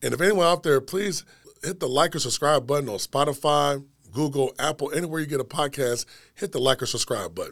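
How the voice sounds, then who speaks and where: Fairly quick in pace, a man with an ordinary speaking voice talks at a fairly high pitch with ordinary pitch variation. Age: 40s. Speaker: podcast host. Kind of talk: show intro monologue; casual interview. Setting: studio.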